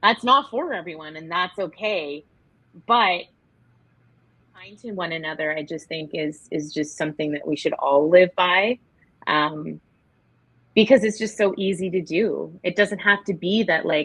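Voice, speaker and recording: Loudness swings widely, and pitch varies in an ordinary way. The pace is fairly slow, over a quiet background. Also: woman, fairly low pitch for a woman. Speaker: teacher. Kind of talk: casual chat. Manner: animated.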